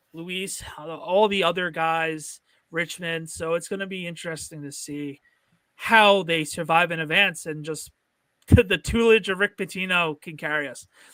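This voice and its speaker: A man with a North Jersey accent speaks at a moderate pace and a high pitch, his bright, sharp tone showing fairly even intonation but big swings in loudness on a very clean recording with a silent background. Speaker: sports podcast host. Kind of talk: casual chat.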